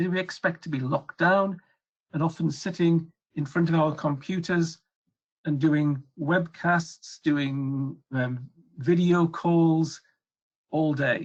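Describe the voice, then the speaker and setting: Someone speaks at a very slow pace with a European accent. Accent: European accent, noticeable. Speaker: regulatory affairs consultant. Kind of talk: webcast presentation. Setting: webcast.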